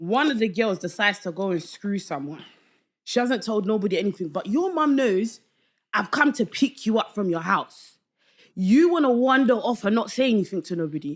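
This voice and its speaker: A woman with a London accent speaks loudly at medium pitch and a moderate pace, with very wide pitch swings, on a very clean recording with a silent background. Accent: London, Multicultural London English. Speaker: podcast guest, online debate show panelist. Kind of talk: casual podcast chat.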